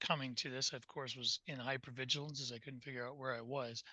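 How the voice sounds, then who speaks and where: A man talks in a fairly high voice with a bright, sharp tone. The sound is dry and close, with no echo. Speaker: panel participant. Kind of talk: panel discussion. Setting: video call. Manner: halting.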